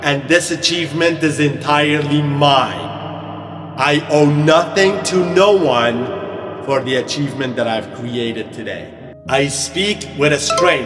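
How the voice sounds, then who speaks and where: With music in the background and audible room echo, a man with a fairly high pitch speaks at a fairly slow pace in an energetic tone with ordinary pitch variation. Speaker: confidence coach. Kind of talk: motivational coaching talk. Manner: loud.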